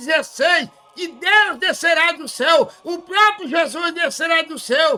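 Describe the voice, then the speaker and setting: Raised and projected, a man's extremely high voice carries a bright, sharp tone at a fairly slow pace. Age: 70s. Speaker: evangelist preacher. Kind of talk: sermon.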